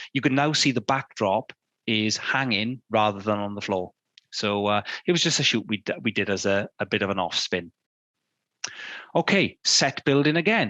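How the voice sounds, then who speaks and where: Speaking in a British accent, a man uses a fairly low pitch, a bright, sharp tone and lively intonation at a moderate pace. Long, frequent pauses break his speech, and the sound is dry and close with no echo. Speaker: fine art photographer giving a talk. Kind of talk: illustrated talk. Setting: studio.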